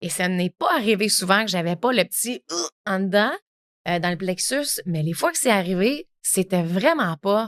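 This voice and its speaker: A woman with a Quebec accent and medium pitch speaks at a fairly slow pace with lively intonation, the sound dry and close with no echo. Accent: Québécois French. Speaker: podcast host. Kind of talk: solo podcast talk. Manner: casual, many filler words.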